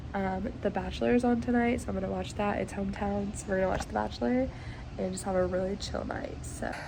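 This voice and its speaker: A woman talks at a very fast pace, with audible room echo around her voice. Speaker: kindergarten teacher vlogger. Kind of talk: casual vlog chat. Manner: filler-heavy, casual.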